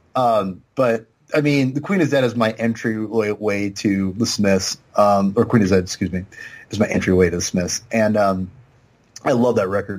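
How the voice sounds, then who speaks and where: In an ordinary speaking voice, a man talks at a moderate pace in a fairly low pitch with fairly even intonation. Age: 30s. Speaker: podcast guest. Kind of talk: casual chat.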